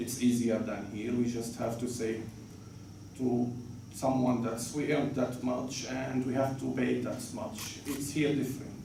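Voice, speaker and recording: A man speaks fairly slowly at a medium pitch, his intonation monotone and flat. Room echo is audible, and background noise is noticeable. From Syria, Damascus. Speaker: journalist. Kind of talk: interview. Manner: halting, with repetitions.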